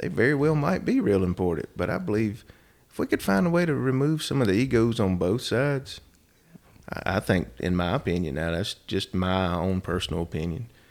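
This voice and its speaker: In a plain, everyday voice with an American accent, a man talks at a fairly quick pace, fairly low in pitch and with lively intonation. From US South, Rockingham, North Carolina. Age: 40s. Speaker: state legislator. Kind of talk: interview.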